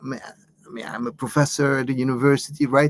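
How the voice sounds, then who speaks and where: A man's fairly high voice with an Arabic accent, monotone, flat intonation and a moderate pace. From Lebanon. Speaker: author and professor. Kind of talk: interview. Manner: halting, many repetitions.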